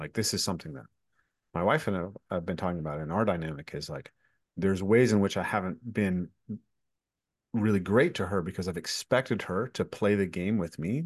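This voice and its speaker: Very deep, low male voice at a fairly quick pace, with ordinary pitch variation against a quiet background. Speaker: podcast host, movement teacher. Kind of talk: casual conversation interview.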